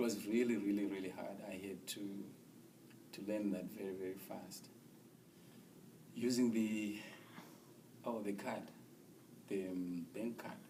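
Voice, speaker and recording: Speaking with an American accent at a fairly slow pace, a man with a fairly low pitch uses monotone, flat intonation and long, frequent pauses, with audible room echo and noticeable background noise. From Zimbabwe. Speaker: refugee resettled in the US. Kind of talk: interview testimony.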